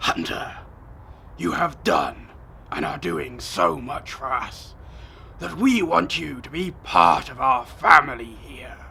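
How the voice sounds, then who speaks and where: Growling in a put-on character voice at medium pitch, a man speaks fairly slowly with long, frequent pauses over clear background noise. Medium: audio drama. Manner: smooth, persuasive.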